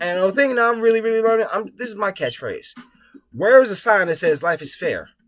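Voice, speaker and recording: With music in the background, a man talks at a very fast pace in an animated tone with lively intonation. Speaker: vlogger. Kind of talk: casual monologue vlog.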